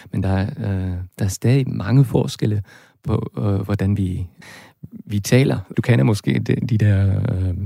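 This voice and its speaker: Spoken at a very slow pace with a northern German accent and ordinary pitch variation. The tone is dark and mellow, somewhat breathy. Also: man, dry, close sound with no echo, very clean recording, silent background. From northern Germany. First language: German (speaking Danish). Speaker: linguist and German lecturer. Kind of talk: interview. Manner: halting.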